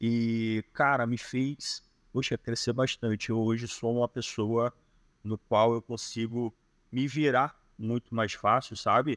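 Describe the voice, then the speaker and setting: In a Carioca accent, the speaker talks at a very slow pace with monotone, flat intonation on a very clean recording with a silent background. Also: man, medium pitch for a man. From Rio de Janeiro. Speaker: digital nomad. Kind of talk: podcast interview answer. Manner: reserved, introspective.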